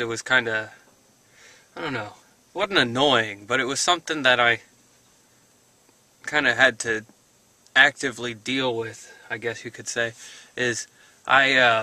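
Dry sound with no echo carries a man speaking at a moderate pace with ordinary pitch variation and long, frequent pauses. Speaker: vlogger. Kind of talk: casual vlog chat. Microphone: phone near.

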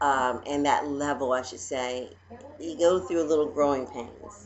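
A woman with a very deep, low pitch talks at a fairly slow pace amid light background noise. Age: 40s. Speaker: vlogger. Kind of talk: casual vlog monologue. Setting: at home. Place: home room. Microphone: webcam.

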